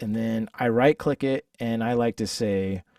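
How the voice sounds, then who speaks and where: The recording of this man's voice sounds dry and close, with no echo. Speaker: musician teaching a workshop. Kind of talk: live tutorial workshop. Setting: livestream with chat. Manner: casual, halting with fillers.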